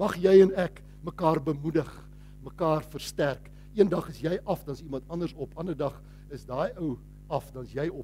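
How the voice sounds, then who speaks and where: A man speaks with a dark, mellow tone at a fairly high pitch, showing ordinary pitch variation. Vocal fry runs through his voice. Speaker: pastor. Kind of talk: sermon. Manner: animated.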